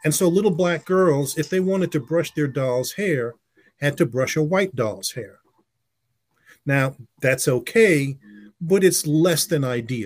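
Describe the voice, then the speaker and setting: Somewhat breathy and fairly high in pitch, a man speaks at a fairly slow pace with lively intonation and long, frequent pauses. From US, West Indian family. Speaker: advertising executive and author. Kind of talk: interview.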